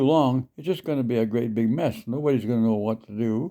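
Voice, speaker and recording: With a western Canadian accent, a man speaks at a fairly quick pace in a medium pitch with ordinary pitch variation. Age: 80s+. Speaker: senior sharing life advice online. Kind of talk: casual advice talk. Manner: halting, with many fillers.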